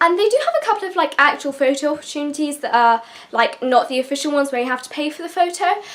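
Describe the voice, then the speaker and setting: Very fast and high-pitched, a woman talks with a British accent. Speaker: YouTuber. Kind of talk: casual vlog advice talk.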